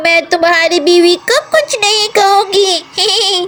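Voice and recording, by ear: A female-sounding voice performs a put-on character voice at an extremely high pitch. The delivery is very slow.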